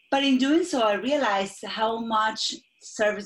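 A woman's somewhat breathy, fairly high voice with lively intonation. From Argentina. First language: Spanish. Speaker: executive coach and speaking strategist. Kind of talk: interview.

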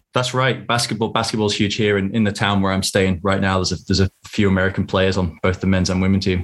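A man talks very fast in a flat monotone, with hardly any pauses and very even loudness. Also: fairly low pitch for a man. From northwest England (Southport). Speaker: fantasy football league organiser and podcaster. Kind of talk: casual chat. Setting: remote call.

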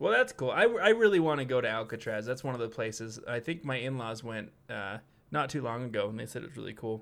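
A man with a medium-pitched voice talks at a very fast pace with ordinary pitch variation. The background is quiet. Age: 20s. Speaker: podcast co-host. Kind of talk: casual chat; reading aloud.

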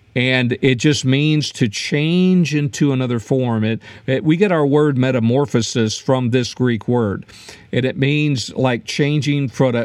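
At a moderate pace, a man speaks in a plain, everyday voice, with a medium pitch and ordinary pitch variation. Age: 60s. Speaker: podcast host and former pastor. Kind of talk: podcast teaching talk. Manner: frequent filler words.

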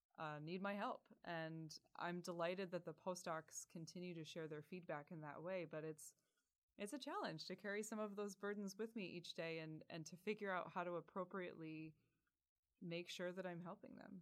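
An unremarkable speaking voice with an American accent, moderate pace and ordinary pitch variation. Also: woman, fairly low pitch for a woman. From rural Pennsylvania. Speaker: university administrator. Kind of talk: interview.

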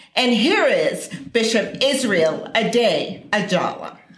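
A woman talks very slowly, and noticeable noise can be heard behind her. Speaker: radio announcer. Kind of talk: scripted announcement. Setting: studio.

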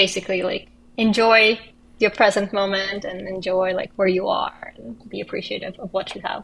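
A woman with a Russian accent speaks at a moderate pace in a medium pitch, her intonation fairly even. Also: big swings in loudness. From Russia, Kazan (Tatarstan). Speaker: actress and filmmaker. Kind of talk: casual chat.

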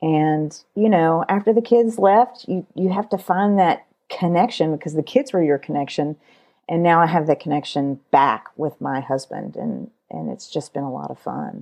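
With big swings in loudness and lively intonation, a woman speaks at a moderate pace in a fairly low pitch and a dark, mellow tone over a quiet background. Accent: Kentucky. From Kentucky, US. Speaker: podcaster and educational television producer. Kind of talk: casual interview.

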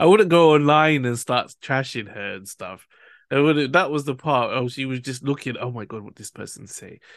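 A man's unremarkable speaking voice, fairly high in pitch, at a moderate pace, with ordinary pitch variation, big swings in loudness and a quiet background. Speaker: podcast host. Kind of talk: casual chat.

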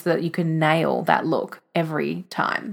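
In an Australian accent, a woman speaks at a moderate pace. Her pitch is fairly low. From Australia, country Victoria. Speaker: podcast host and visionary coach. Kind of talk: solo podcast monologue.

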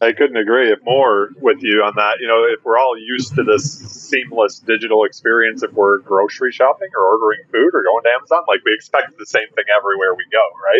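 Noticeable background noise sits behind a man with an American accent. He talks at a fairly quick pace with hardly any pauses. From Detroit, Michigan. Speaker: podcast host. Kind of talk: interview.

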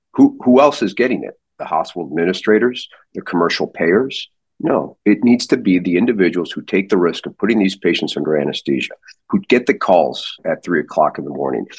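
A man with an American accent has a plain, everyday voice and a fairly low pitch. He talks at a fairly quick pace. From US Midwest, St. Louis. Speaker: neurosurgeon. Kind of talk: interview. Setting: podcast.

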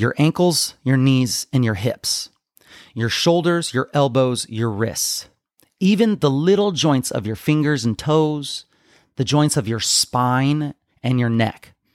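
An ordinary speaking voice from a man, fairly high in pitch, with lively intonation and a fairly slow pace, in a dry, close sound with no echo. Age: 30s. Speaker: fitness coach and podcast host. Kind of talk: solo podcast monologue.

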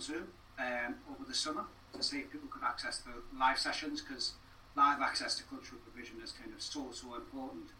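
A man speaks at a fairly quick pace with big swings in loudness over noticeable background noise. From northeast England (Wallsend, Tyneside). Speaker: arts participation producer. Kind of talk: casual interview.

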